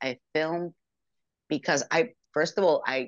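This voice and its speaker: A woman's very deep, low pitch, varied in an ordinary way. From Ukraine, Odessa. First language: Russian or Ukrainian. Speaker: actress and singer. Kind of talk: interview.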